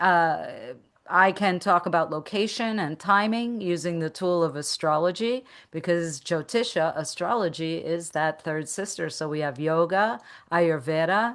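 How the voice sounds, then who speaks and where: Against a quiet background, a woman speaks at a fairly slow pace. Hers is a plain, everyday voice, fairly low in pitch with ordinary pitch variation. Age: 60s. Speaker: meditation teacher and business coach. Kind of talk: interview.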